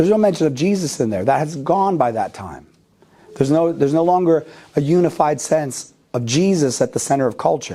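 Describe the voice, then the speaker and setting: An unremarkable speaking voice with an American accent talks at a fairly quick pace with lively intonation. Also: man, fairly high pitch for a man. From United States. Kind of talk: lecture. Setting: parish hall with live audience.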